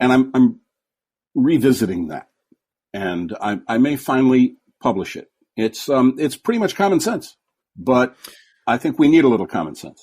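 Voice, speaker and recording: A man speaks at a moderate pace with long, frequent pauses. His pitch swings very widely and his loudness swings a lot. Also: medium pitch for a man. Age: 70s. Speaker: former TV host. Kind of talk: casual interview. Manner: halting.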